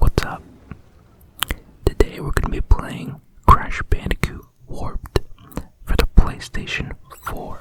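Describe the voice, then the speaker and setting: Someone whispers at a fairly slow pace, with long, frequent pauses. Background noise is noticeable. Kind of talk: ASMR gaming commentary. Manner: whispered.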